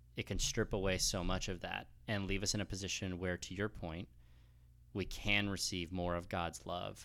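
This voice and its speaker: On a very clean recording with a silent background, a man speaks with an American accent. His very deep, low voice has vocal fry. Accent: West Coast American, noticeable to Texans. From US West Coast, Los Angeles. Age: 30s. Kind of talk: casual interview on grief and faith. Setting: recorded at his church.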